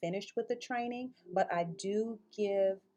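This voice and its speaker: With music playing in the background, a woman speaks in an American accent with ordinary pitch variation. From Mississippi. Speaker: early childhood director trainer. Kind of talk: online course introduction. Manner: warm, conversational with fillers.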